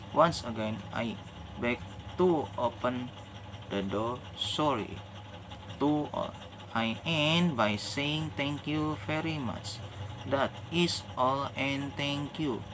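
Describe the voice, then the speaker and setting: With an Indonesian accent, a man of medium pitch speaks at a very slow pace with ordinary pitch variation and long, frequent pauses. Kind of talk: religious reminder talk to camera. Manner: hesitant, non-fluent English.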